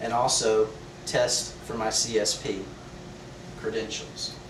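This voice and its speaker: Here a man with an American accent speaks at a medium pitch. Audible room echo and noticeable background noise are present. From Texas, Beaumont. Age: 30s. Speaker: student. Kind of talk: class speech. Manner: formal.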